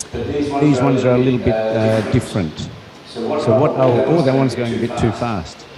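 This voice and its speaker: Speaking fairly slowly with an Australian accent, a man at medium pitch is heard with audible room echo and noticeable background noise. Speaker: university professor. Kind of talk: lecture. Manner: hesitant, many fillers.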